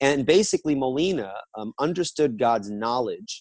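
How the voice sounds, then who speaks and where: Delivered at a fairly slow pace, an unremarkable speaking voice carries lively intonation. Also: man. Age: 30s. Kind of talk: theological interview. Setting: video call.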